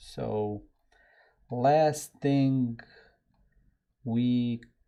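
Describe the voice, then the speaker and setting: Against a quiet background, a man with a Serbian accent speaks in a dark, mellow tone with fairly even intonation. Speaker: software developer and live-stream host. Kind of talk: casual live-stream chat. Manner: rambling, scattered.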